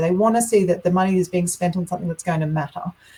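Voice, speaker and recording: Here a woman talks with an Australian accent. Her tone is animated. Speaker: health researcher. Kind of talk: webinar Q&A. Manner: fast, animated.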